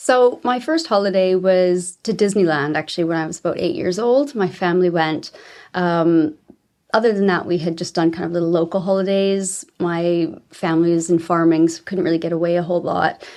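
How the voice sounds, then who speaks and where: A woman with a Canadian accent talks at a fairly low pitch. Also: ordinary pitch variation, fairly quick pace. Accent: Canadian, noticeable to UK listeners. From Canada, small mountain town. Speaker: travel agent. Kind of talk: podcast interview.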